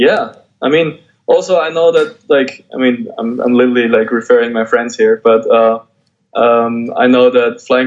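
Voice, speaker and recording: A man speaks in a German accent at a moderate pace. His pitch is medium and his intonation fairly even. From Austria. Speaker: graffiti artist and painter. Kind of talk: interview.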